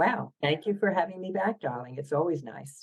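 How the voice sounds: In a Philadelphia accent, a woman speaks with a low pitch, lively intonation and a slightly husky edge. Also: moderate pace. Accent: Philadelphia American.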